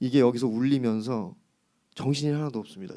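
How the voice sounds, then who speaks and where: A man talks at medium pitch with a dark, mellow tone. His intonation stays fairly even. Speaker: pastor. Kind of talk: sermon. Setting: church service. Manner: casual, chatty.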